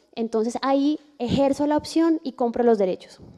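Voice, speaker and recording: A woman's dark, mellow tone. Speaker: audiovisual copyright lawyer. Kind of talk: lecture.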